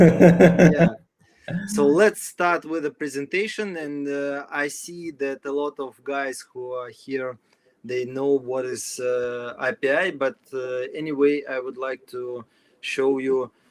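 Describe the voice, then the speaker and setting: Speaking very slowly with a Russian accent, a man uses a fairly high pitch and ordinary pitch variation. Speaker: company executive; presenter. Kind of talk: tutorial presentation. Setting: video call webinar. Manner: halting. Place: home room. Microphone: video call.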